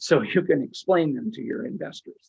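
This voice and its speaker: A man talks at a moderate pace with lively intonation. His voice has vocal fry. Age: 70s. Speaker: syndication attorney and interview show host. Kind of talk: interview. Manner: halting.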